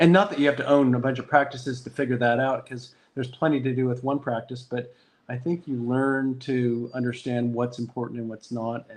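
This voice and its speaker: A man's medium-pitched voice moves at a fairly quick pace with fairly even intonation. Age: 60s. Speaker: dentist and practice owner. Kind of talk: interview. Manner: halting.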